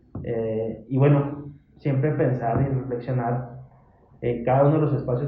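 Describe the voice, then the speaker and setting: In a room with audible echo, a man speaks at a fairly slow pace. His voice is medium in pitch, with fairly even intonation. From Mexico, Chihuahua (Parral). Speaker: human rights commission staff. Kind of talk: casual interview. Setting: office visit.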